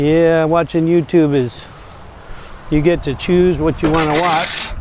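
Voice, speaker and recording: At a fairly slow pace, the speech comes through with noticeable background noise. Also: man. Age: old. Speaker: YouTuber. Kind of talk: casual vlog monologue while working. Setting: outdoors in a garden.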